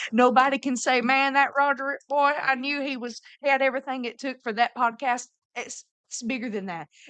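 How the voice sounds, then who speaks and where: With a Southern US accent, a woman talks at a fairly quick pace in a high, bright, sharp voice with fairly even intonation and big swings in loudness, the sound dry and close with no echo. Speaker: missionary. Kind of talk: casual chat.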